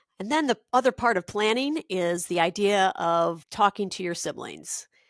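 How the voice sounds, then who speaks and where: A woman's plain, everyday voice with an American accent, medium in pitch and fairly slow, in a very clean recording with a silent background and a dry, close sound with no echo. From Minnesota. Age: 60s. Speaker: podcast host. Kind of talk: personal monologue.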